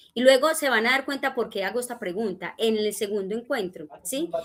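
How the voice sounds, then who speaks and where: This woman has a plain, everyday voice at a fairly high pitch. She keeps a moderate pace with ordinary pitch variation. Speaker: discipleship teacher. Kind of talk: church teaching class.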